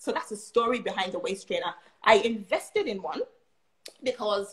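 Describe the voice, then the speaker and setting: Somewhat breathy, a woman speaks at a fairly high pitch. Her intonation is lively and her pace moderate. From Nigeria. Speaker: nurse. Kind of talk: casual chat.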